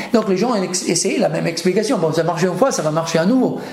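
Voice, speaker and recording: A man with an Italian accent speaks at a high pitch with ordinary pitch variation, while noticeable background noise and audible room echo come through. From Italy. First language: Italian (speaking French). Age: 30s. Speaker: theoretical physicist. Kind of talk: interview. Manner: halting.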